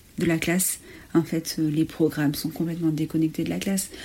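This woman's voice is fairly low in pitch, and she keeps a moderate pace. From France, Ardèche. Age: 30s. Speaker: primary school teacher and headteacher. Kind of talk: testimony.

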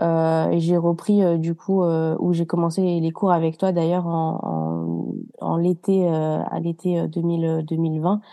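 A woman's fairly low, dark, mellow voice, monotone and flat, at very even loudness. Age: 20s. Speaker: yoga retreat participant. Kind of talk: casual interview chat. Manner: hesitant, many fillers.

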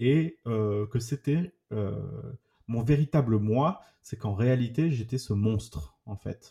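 A man's dark, mellow, somewhat breathy voice at a medium pitch, with lively intonation and a very slow pace. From southern France, Toulouse. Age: 30s. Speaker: trauma survivor giving testimony. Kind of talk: personal testimony. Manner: halting, repetitive.

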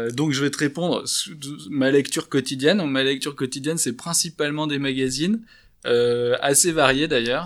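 In an unremarkable speaking voice, a man talks at a moderate pace, his fairly high pitch showing ordinary pitch variation. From France, Bordeaux. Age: 30s. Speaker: startup founder in commercial real estate. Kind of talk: interview. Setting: office.

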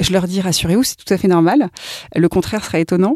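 Dry and close with no echo, a woman's medium-pitched voice has a dark, mellow tone and ordinary pitch variation. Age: 40s. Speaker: workplace well-being coach. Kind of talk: interview.

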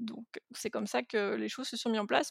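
Very clean, with a silent background, this recording captures a woman's voice. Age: 40s. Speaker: entrepreneur and web marketing consultant. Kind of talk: casual interview conversation.

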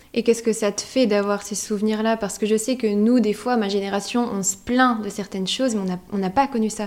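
The speech comes at a fairly quick pace in a monotone, flat intonation, with noticeable background noise. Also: woman, fairly high pitch for a woman. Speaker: podcast host interviewing her great-grandmother. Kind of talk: casual family interview.

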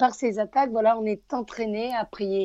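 A woman with a southern French accent, fairly high pitch, ordinary pitch variation and a fairly slow pace. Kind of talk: religious talk radio.

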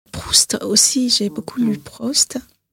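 Speaking fairly slowly in a Persian accent, a woman with a fairly high pitch and ordinary pitch variation is heard in a dry, close sound with no echo. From Iran, Tehran. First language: Persian (speaking French). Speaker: consultant and activist. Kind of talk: interview.

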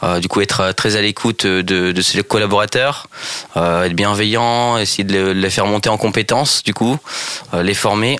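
A man talks at a moderate pace in a plain, everyday voice, fairly low in pitch with fairly even intonation. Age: 20s. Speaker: sporting goods store department manager. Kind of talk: radio interview.

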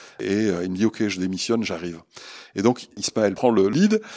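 On a very clean recording with a silent background, a man speaks at a moderate pace. His pitch is fairly low and his intonation fairly even. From southwest France, Pau. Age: 60s. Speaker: social entrepreneur. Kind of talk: interview.

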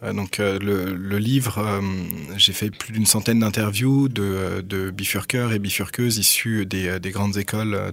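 A man's fairly low voice at a fairly slow pace, fairly even in intonation, over noticeable background noise. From Paris, France. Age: 30s. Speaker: doctoral researcher and author. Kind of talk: radio interview.

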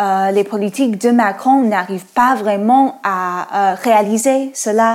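Speaking very slowly, a woman uses a fairly high pitch and an American accent. Her pitch varies in an ordinary way. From United States. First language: English (speaking French). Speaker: podcast co-host. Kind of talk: interview.

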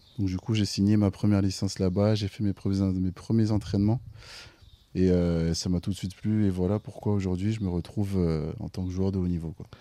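In a flat monotone at a fairly quick pace, a man with a fairly low pitch and a dark, mellow tone speaks on a very clean recording with a silent background. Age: 20s. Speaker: volleyball player. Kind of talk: casual interview. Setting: outdoors.

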